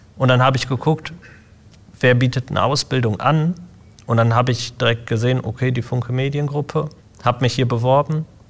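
A man with a somewhat breathy voice and medium pitch talks at a fairly quick pace with fairly even intonation and long, frequent pauses. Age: 20s. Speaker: IT apprentice. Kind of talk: casual interview.

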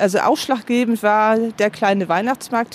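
Noticeable background noise sits behind a woman speaking at a moderate pace. Her pitch is fairly high, with fairly even intonation. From Heide, Schleswig-Holstein, northern Germany. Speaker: citizen initiative organizer. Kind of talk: interview.

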